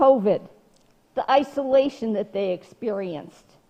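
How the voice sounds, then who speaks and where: A woman speaks at a fairly slow pace in a dark, mellow tone, her pitch swinging very widely. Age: 70s. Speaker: city council president. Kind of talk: council meeting discussion.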